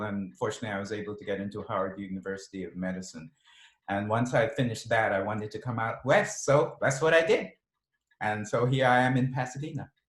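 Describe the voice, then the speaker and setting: A man's somewhat breathy voice with an American accent, lively intonation and a fairly quick pace. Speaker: mystery novelist and physician. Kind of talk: author interview. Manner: halting, many fillers.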